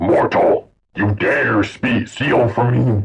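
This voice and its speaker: Growling in a put-on character voice, a man speaks very slowly at a medium pitch. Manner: menacing.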